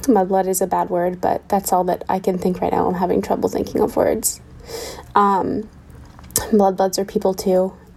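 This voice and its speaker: A woman's flat, monotone voice at a medium pitch and moderate pace, very even in loudness, with noticeable background noise. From Pittsburgh, US. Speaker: listener leaving a voicemail. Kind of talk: voicemail message. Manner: halting, with many fillers.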